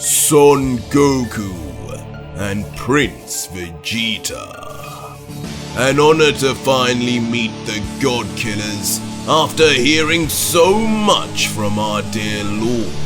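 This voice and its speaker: A man does a put-on character voice at a medium pitch and a very slow pace. Clear music plays in the background. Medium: read story. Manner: calm, measured, formally polite yet mocking.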